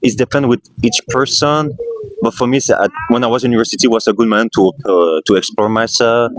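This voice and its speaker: A man with a Quebec accent speaks at a very fast pace and medium pitch, with ordinary pitch variation and very even loudness. The sound is dry and close with no echo, and music plays in the background. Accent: Québécois French accent in English. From Quebec, Canada. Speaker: street interviewee. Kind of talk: street interview. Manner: halting.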